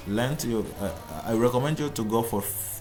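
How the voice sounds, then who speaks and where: A man at a moderate pace with ordinary pitch variation, amid audible room echo and noticeable background noise. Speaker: YouTube tutorial creator. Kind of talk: screen-recorded tutorial. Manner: halting, many repetitions and restarts.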